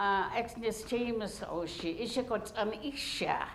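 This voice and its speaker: Audible room echo surrounds a woman's fairly high voice. She talks at a very slow pace with fairly even intonation. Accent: Alaska Native. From Arctic Alaska, Gwich'in village. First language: Gwich'in. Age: old. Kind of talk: public talk. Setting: university lecture hall with audience. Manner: halting, many fillers.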